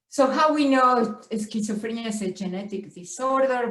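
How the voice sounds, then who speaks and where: In a strong Spanish accent, a woman speaks somewhat breathily at a fairly slow pace with ordinary pitch variation and audible room echo. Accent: heavy Spanish. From Argentina. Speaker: professor. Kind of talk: lecture. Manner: halting, with frequent stutters and fillers.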